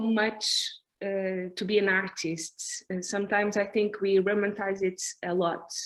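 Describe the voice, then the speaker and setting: Set against a quiet background, a woman with a non-native accent talks at a medium pitch and a fairly slow pace. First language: Portuguese. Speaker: performance artist. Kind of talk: artist conversation. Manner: halting.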